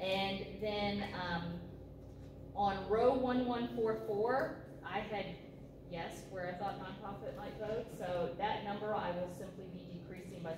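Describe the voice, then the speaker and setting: Lively intonation comes at a fairly slow pace. The recording has audible room echo and noticeable background noise. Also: woman, medium pitch for a woman. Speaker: county finance director. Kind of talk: budget presentation at committee meeting.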